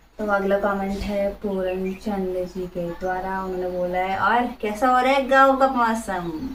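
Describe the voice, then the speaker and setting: Through noticeable background noise, a woman talks with hardly any pauses and ordinary pitch variation. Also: medium pitch for a woman. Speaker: vlogger. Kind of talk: casual Q&A chat reading viewer comments. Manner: soft-spoken.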